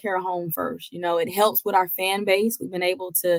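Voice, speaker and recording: This woman has a slight Georgia accent and a medium pitch. She talks at a fairly quick pace. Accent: slight Georgia twang. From Georgia, US South. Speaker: college basketball head coach. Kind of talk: interview.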